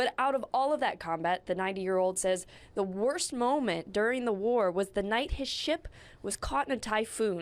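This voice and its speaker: A woman's fairly high, unremarkable speaking voice at a moderate pace and very even loudness. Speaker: TV news reporter. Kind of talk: TV news report.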